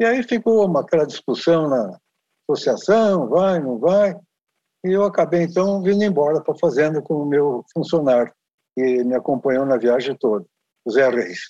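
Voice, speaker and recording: A man with a dark, mellow tone and a fairly high pitch swings very widely in pitch. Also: moderate pace. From Brazil, farm country. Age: 80s+. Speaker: long-distance horseback rider. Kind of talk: casual interview chat.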